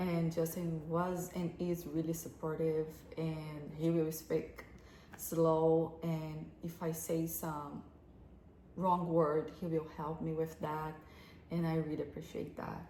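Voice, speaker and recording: A very deep, low-pitched woman with a non-native accent, somewhat breathy and monotone, at a very slow pace with audible room echo. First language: not English. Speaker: relationship advice co-host. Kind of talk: casual advice talk. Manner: halting.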